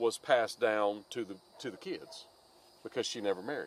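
This man's voice has a fairly bright tone and lively intonation.

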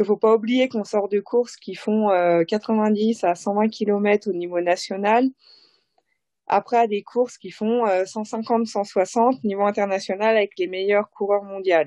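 A woman speaks at a very slow pace and a medium pitch. Her loudness swings widely from moment to moment. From Haute-Savoie, French Alps. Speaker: professional cyclist. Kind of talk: interview. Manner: animated.

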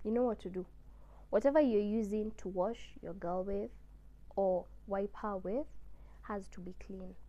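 A woman's dark, mellow voice with ordinary pitch variation at a fairly slow pace. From Kenya. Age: 20s. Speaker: YouTuber. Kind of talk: casual educational vlog. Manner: animated. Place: home room. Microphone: lapel.

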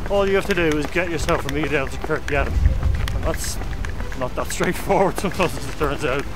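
A man talks at a very fast pace. The sound is dry with no echo, with clear music in the background. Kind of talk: interview answer. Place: open country. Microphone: camera far.

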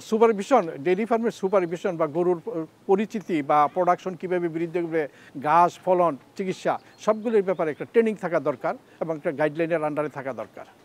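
The voice shows ordinary pitch variation in a dry sound with no echo. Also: man, high pitch for a man. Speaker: retired civil servant and dairy farmer. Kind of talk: interview testimony. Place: farm machine. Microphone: lapel.

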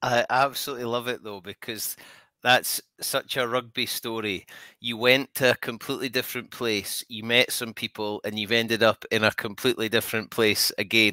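A man with a Scottish accent, bright, sharp tone and monotone, flat intonation at a moderate pace, in a dry sound with no echo and a quiet background. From Scotland. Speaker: podcast host. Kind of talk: casual interview. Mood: warm, enthusiastic.

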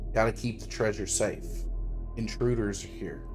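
Putting on a guttural character voice, a man speaks at a moderate pace over loud music in the background. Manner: gruff.

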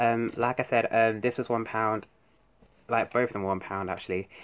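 A man's medium-pitched voice with a British accent. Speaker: YouTuber. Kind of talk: haul video. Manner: fast; halting. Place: home room. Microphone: phone near.

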